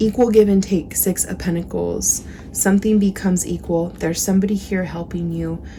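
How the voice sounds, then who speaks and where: A woman is speaking. Noticeable background noise runs beneath her voice. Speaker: tarot reader. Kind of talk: tarot reading to camera. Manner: casual, conversational with filler words.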